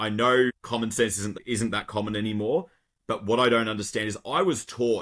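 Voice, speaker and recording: With an Australian accent, a man speaks at a fairly quick pace and medium pitch. His pitch varies in an ordinary way on a very clean recording with a silent background. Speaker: garbage truck driver. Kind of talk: podcast conversation.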